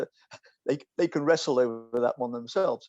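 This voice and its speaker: A man with an English accent speaks in a dark, mellow tone, recorded dry and close with no echo. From England. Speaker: philosopher. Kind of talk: casual chat. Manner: halting.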